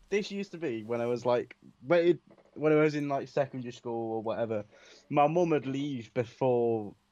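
A man with an unremarkable speaking voice talks at a fairly quick pace with ordinary pitch variation against a quiet background. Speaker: radio co-host. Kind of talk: casual chat.

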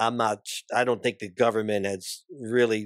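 A man speaks with an American accent at a fairly slow pace. His intonation is monotone and flat. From New Jersey, New York City area. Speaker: pastor and army veteran. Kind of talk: casual interview and Bible discussion. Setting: studio.

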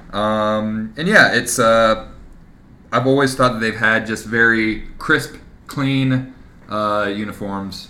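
There is audible room echo around a man's bright, sharp tone. He speaks at a very slow pace with fairly even intonation. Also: medium pitch for a man. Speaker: podcast co-host. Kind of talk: casual chat.

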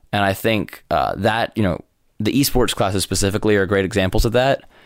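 Over a silent background in a very clean recording, a man with an ordinary speaking voice talks at a fairly quick pace. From New York. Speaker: college sports and esports commentator. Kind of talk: interview.

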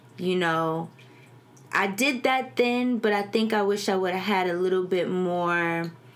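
In an American accent, a woman talks at a fairly slow pace with a medium pitch and ordinary pitch variation. Her loudness stays very even, and the room echo is audible. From New Jersey. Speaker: market researcher and cannabis entrepreneur. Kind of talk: casual chat.

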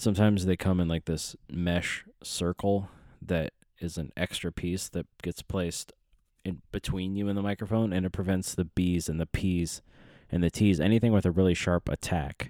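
A man speaks at a very deep, low pitch in a dark, mellow tone, with fairly even intonation and a moderate pace. The recording is very clean with a silent background, dry and close with no echo. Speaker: solo podcast host. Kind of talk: casual solo monologue. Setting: home studio with microphone and headphones.

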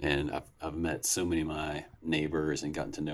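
This man speaks fairly quickly in a very deep, low voice. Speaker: podcast host. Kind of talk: casual interview chat.

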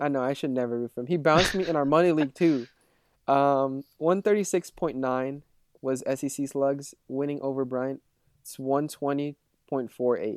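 An ordinary speaking voice from a man, fairly high in pitch with fairly even intonation, at a moderate pace on a very clean recording with a silent background. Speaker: fantasy football podcast co-host. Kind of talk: casual banter.

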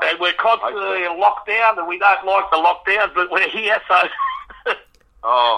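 A man's high, raised and projected voice with an Australian accent, very slow pace, hardly any pauses and ordinary pitch variation. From Melbourne, Australia. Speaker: radio show caller, fan. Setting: phone. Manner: enthusiastic.

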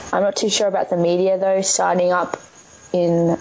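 A woman's medium-pitched voice in an Australian accent, with noticeable background noise. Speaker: ice hockey player and coach. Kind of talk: radio interview. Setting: studio.

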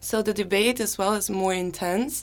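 This woman has an ordinary speaking voice, medium in pitch, at a moderate pace. The recording is very clean, with a silent background. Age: 20s. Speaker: exchange student. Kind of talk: interview. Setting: radio studio.

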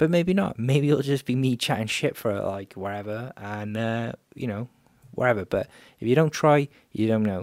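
An unremarkable speaking voice from a man, medium in pitch with ordinary pitch variation, at a moderate pace, dry and close with no echo, in a very clean recording with a silent background. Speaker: podcast host, photographer and filmmaker. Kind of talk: solo podcast monologue.

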